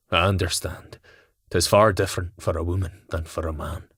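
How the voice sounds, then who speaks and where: A put-on character voice delivers its lines at a moderate pace with monotone, flat intonation. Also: man, very deep, low pitch for a man. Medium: read story. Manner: gentle, courteous.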